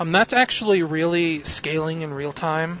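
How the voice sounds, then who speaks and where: A man mumbles at a moderate pace with monotone, flat intonation. His pitch is fairly high, and there is noticeable background noise. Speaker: video game streamer. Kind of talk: live gameplay commentary. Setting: live stream at home. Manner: mumbling.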